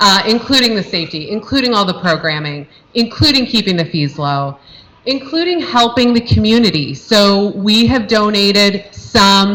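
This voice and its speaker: A woman speaks at a moderate pace and medium pitch with lively intonation. Noticeable background noise is present. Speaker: youth football parent volunteer organizer. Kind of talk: informational talk at parent meeting. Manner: loud.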